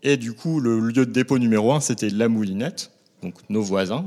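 A man talks in an ordinary speaking voice at a medium pitch. His pace is moderate and his intonation lively. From northern France, Lille. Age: 40s. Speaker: baker. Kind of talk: interview. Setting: on location at a shop.

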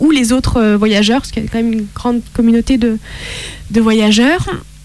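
A fairly high-pitched woman at a moderate pace, fairly even in intonation, with noticeable background noise. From France, Italian roots. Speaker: author and actress. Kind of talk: casual interview.

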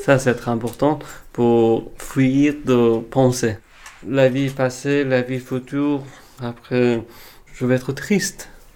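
A man talks at a very slow pace with long, frequent pauses. His voice sits at a medium pitch, with a dark, mellow tone and fairly even intonation. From Afghanistan. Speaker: former embassy interpreter. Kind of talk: interview testimony.

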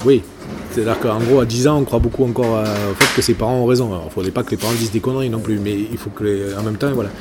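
Over noticeable background noise, a man talks at a very fast pace. His intonation stays fairly even. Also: medium pitch for a man. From southern France (Gard, Languedoc). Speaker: politician. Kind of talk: interview. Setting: café.

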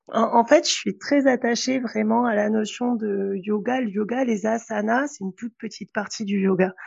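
Hardly pausing, a woman talks at a moderate pace in a somewhat breathy, fairly high voice with fairly even intonation. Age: 40s. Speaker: yoga teacher. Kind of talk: casual chat.

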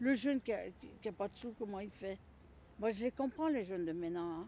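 Lively intonation marks a woman's moderate-paced speech, recorded very cleanly over a silent background. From Lyon, France. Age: 60s. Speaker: retired home carer. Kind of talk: interview. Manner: halting, repetitive.

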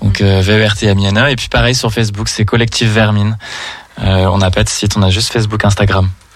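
A man at a fairly quick pace, in a monotone, flat intonation. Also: fairly low pitch for a man. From Saint-Étienne, France. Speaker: drag queen. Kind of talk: radio interview.

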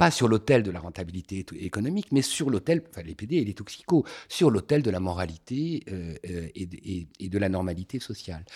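A man with a fairly low pitch speaks at a moderate pace, with hardly any pauses and big swings in loudness. The recording is very clean, with a silent background. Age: 50s. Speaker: former activist association president. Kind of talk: conversation, personal testimony. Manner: halting with repetitions.

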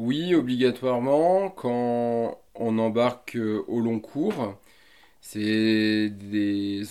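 A dark, mellow tone marks this man's voice. His pitch sits in the medium range. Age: 40s. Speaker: merchant navy officer. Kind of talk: interview.

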